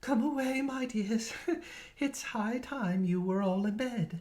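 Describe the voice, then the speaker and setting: This put-on character voice is shaky and fairly high in pitch. It moves at a fairly slow pace. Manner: trembling voice.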